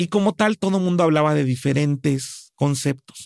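Speaking at a moderate pace, a man with a fairly high pitch uses ordinary pitch variation in a dry, close sound with no echo. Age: 40s. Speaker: business consultant. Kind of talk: interview.

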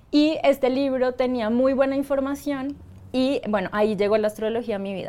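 A woman speaks at a fairly quick pace with a Bogotá accent. Her pitch varies in an ordinary way. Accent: Colombian Spanish (Bogotá). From Colombia, Bogotá. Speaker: astrologer. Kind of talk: interview.

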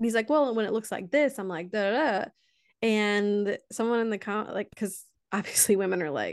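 A woman in a plain, everyday voice talks at a fairly high pitch and moderate pace, with ordinary pitch variation over a quiet background. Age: 30s. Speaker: educator. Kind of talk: casual chat.

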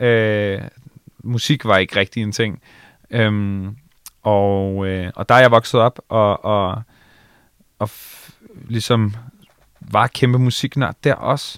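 A man with a fairly low pitch talks at a very slow pace, with long, frequent pauses, fairly even intonation, big swings in loudness, and a dry, close sound with no echo. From Bornholm, Denmark (Allinge). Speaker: radio host and DJ. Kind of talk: casual interview. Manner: halting, many fillers and repetitions.

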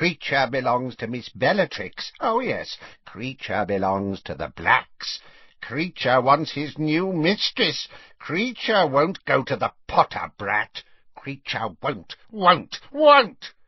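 Putting on a character voice, a man speaks loudly at a fairly slow pace, fairly high and croaky. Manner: loud, stubborn, repetitive.

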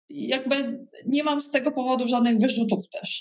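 At a fairly slow pace, a woman speaks at a high pitch with fairly even intonation. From Poland, Koszalin (West Pomerania). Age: 40s. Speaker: leadership trainer and entrepreneur. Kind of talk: interview.

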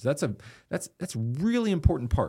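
A man with a Texan accent and a dark, mellow tone, on a very clean recording with a silent background. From Texas (Austin, Eastland). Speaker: pastor. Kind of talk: casual interview.

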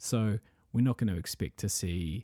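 Over a silent background in a very clean recording, a man speaks quietly. His tone is dark and mellow, and his intonation is lively. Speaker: wrestling podcast host. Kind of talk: solo commentary podcast. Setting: at home. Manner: quieter, hushed indoor voice.

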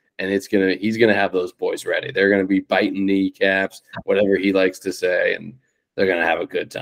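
With an American accent, a man speaks at a fairly quick pace in a dry, close sound with no echo. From Cincinnati, Ohio, US Midwest. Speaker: podcast co-host, football fan. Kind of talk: casual sports chat.

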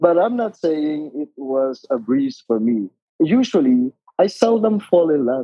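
A man at a fairly high pitch, with very wide pitch swings and a fairly slow pace. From Philippines, Biñan, Laguna. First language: Tagalog. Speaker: retired occupational therapist. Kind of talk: casual interview.

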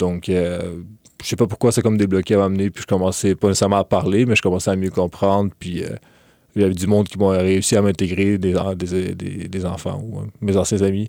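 A dark, mellow tone in a Quebec accent comes at a fairly quick pace with monotone, flat intonation. The sound is dry and close, with no echo. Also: man, very deep, low pitch for a man. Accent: Québécois French. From Quebec, Lévis (from age 10; born in Ukraine). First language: Russian (speaking French). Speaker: university student. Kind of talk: interview. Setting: studio. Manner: hesitant, many fillers.

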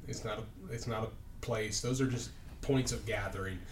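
A man speaks at a moderate pace with a Midwestern US accent. Noticeable background noise and audible room echo fill the recording. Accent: US Midwest. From Indianapolis, Indiana. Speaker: pastor. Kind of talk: casual chat.

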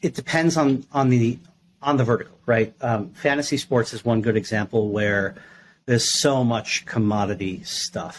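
Using a normal speaking voice at a medium pitch, a man with an American accent talks at a fairly slow pace with lively intonation. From New York. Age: 30s. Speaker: gaming industry executive and startup advisor. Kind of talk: podcast interview.

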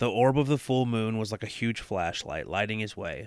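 The recording is very clean, with a silent background. A man with a fairly low pitch speaks at a moderate pace in an ordinary speaking voice. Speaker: podcast co-host. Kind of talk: true-crime horror narration, reading aloud from a book.

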